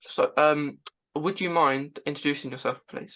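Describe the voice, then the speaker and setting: In a British accent, a woman speaks at a moderate pace with a very deep, low pitch and ordinary pitch variation. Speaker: podcast host. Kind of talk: interview. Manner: halting.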